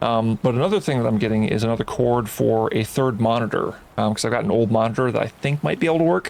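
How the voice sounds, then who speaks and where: At a very fast pace with hardly any pauses, a man speaks quietly at medium pitch with ordinary pitch variation. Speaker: gaming streamer. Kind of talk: live game stream commentary. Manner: halting, many fillers. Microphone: volume adjusted after being too quiet.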